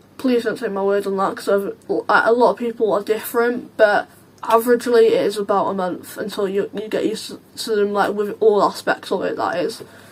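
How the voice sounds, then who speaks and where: Over noticeable background noise, a woman speaks at a fairly high pitch. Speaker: vlogger. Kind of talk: casual vlog Q&A. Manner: chatty, halting with fillers.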